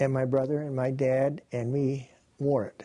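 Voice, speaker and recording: A man's fairly high voice with a dark, mellow tone and an Upper Midwest accent. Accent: Upper Midwest American. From Wisconsin. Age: 80s+. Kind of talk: interview answer.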